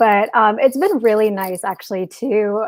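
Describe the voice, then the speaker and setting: Speaking with a strong Chicago accent at a medium pitch, a woman comes through with a dry, close sound and no echo. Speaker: software developer. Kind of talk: casual interview.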